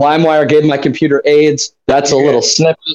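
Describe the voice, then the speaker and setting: A man with a normal speaking voice talks fairly quickly in an American accent, his pitch fairly high. The sound is dry and close, with no echo. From St. Louis, Missouri. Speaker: podcast host. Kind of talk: casual chat.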